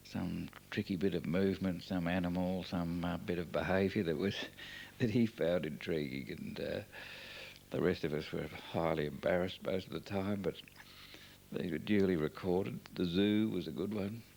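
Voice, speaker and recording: His voice is very deep and low. This man talks at a moderate speed. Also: ordinary pitch variation. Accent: Australian. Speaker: family member narrating home movies. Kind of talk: oral history commentary. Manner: hesitant, many fillers.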